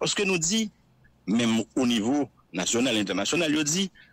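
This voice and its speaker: Heard with a dry, close sound and no echo, a man talks at a fairly quick pace with a fairly high pitch and very wide pitch swings. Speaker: civil society representative. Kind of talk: interview.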